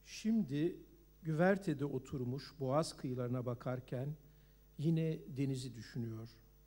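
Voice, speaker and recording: At a fairly slow pace, a man speaks with a fairly high pitch, a dark, mellow, somewhat breathy tone, and ordinary pitch variation. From Turkey. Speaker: novelist. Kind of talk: reading aloud.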